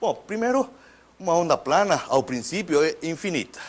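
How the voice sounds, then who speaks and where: Lively intonation carries this man's speech in a Spanish accent. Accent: Spanish-accented Portuguese (portunhol). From Mexico. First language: Spanish (speaking Portuguese). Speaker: physics professor. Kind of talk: lecture. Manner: halting, with repetitions.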